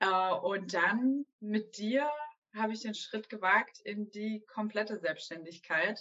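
A plain, everyday voice, ordinary in its pitch variation. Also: woman. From southwestern Germany, Stuttgart area. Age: 30s. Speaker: ballet teacher and entrepreneur. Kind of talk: interview. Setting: video call.

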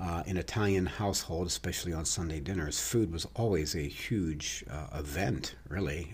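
Vocal fry runs through this voice as it moves at a fairly slow pace. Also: man. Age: 50s. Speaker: personal fitness trainer and bodybuilder. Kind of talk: podcast monologue. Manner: casual, with fillers and false starts.

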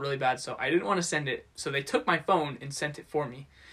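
Music in the background behind a man speaking with ordinary pitch variation. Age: 20s. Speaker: podcast host. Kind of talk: casual chat.

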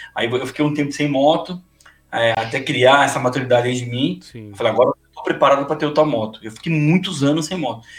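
A man speaks at a very fast clip in a fairly high, somewhat breathy voice, his loudness swinging widely. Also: ordinary pitch variation. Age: 40s. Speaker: motorcycle youtuber. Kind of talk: casual chat.

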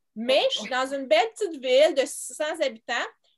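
A woman's voice is captured in a very clean recording against total silence. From Quebec, Montreal. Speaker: homeschooling mother and teacher. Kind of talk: interview.

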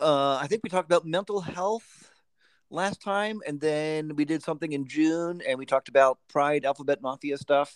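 A man with an unremarkable speaking voice, fairly high in pitch, at a moderate pace with ordinary pitch variation, in a dry, close sound with no echo. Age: 50s. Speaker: podcast guest, friend of host. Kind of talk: casual chat. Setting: remote call.

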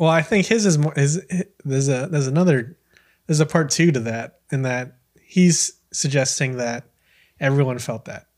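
A man's ordinary speaking voice with an American accent, fairly high in pitch with ordinary pitch variation, at a moderate pace, in a very clean recording with a silent background. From US, Filipino American. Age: 20s. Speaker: podcast host, coffee seller. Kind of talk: casual interview chat.

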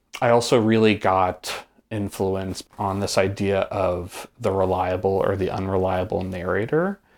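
With an American accent and a plain, everyday voice, a man speaks at a fairly slow pace with hardly any pauses, fairly low in pitch and fairly even in intonation, in a very clean recording with a silent background. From Hudson Valley, upstate New York. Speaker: performance artist. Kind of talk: casual chat. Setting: host's home.

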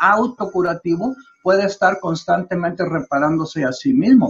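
A man with a high voice speaks at a fairly slow pace. His intonation is lively. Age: 80s+. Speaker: trophologist. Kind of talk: interview. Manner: halting.

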